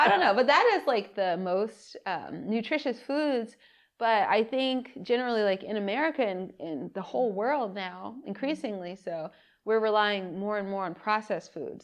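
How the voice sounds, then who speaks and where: A woman speaks in a normal speaking voice at a moderate pace over a quiet background. Her pitch is fairly high and her intonation lively. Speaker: podcast host. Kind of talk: casual podcast conversation.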